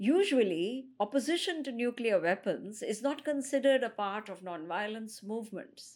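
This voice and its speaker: An unremarkable speaking voice from a woman, fairly high in pitch with lively intonation and big swings in loudness, moves at a moderate pace with hardly any pauses on a very clean recording with a silent background. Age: younger than the guest. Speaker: podcast host. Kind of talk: podcast interview.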